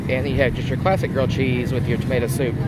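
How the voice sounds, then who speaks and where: Crowd noise fills the background as a man talks. The sound is dry, with no echo. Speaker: theme park food vlogger. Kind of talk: casual vlog chat. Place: street. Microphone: phone near.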